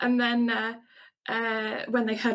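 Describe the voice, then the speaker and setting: A woman speaks with a strong English accent. Her pitch is fairly high. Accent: English accent, still strong. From England. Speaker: Twitch streamer. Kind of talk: casual interview chat.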